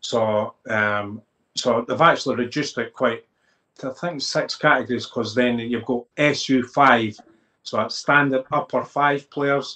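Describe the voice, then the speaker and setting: A man with a Lothians accent speaks at a fairly slow pace, with a bright, sharp tone and fairly even intonation, against a quiet background. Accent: Scottish (Lothians). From Scotland, Midlothian (Dalkeith area); Scotland. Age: 40s. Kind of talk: interview. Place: home room. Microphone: video call.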